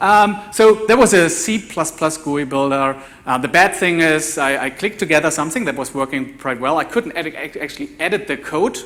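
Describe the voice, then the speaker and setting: Against noticeable background noise, a man with a fairly high pitch talks with lively intonation and hardly any pauses. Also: fairly quick pace. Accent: German. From Germany. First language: German. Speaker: developer evangelist, conference speaker. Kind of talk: conference talk. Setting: conference stage with audience. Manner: halting, many fillers and repeats.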